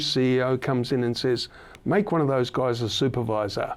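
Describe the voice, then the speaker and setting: A man's medium-pitched voice with an Australian accent, fairly even intonation and a fairly quick pace. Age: 60s. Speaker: podcast host. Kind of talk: casual chat.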